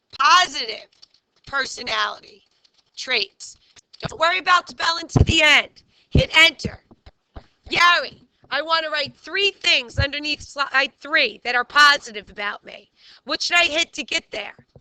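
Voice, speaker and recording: A woman's high-pitched, raised, projected voice, fairly slow with long, frequent pauses, lively intonation and big swings in loudness, in a dry, close sound with no echo. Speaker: teacher. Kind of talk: classroom lesson. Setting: classroom. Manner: animated.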